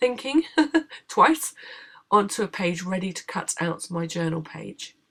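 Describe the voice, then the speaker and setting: A woman talks at a medium pitch with a British accent. Her pitch swings very widely. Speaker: craft tutorial maker. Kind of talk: tutorial.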